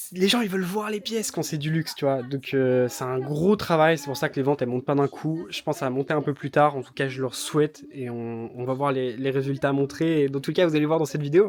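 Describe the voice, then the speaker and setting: Over noticeable background noise, a man speaks at a fairly quick pace with hardly any pauses, a fairly high pitch and ordinary pitch variation. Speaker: YouTuber covering reselling business. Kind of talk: vlog commentary. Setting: in an office/storage premises. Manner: hesitant fillers; soft-spoken.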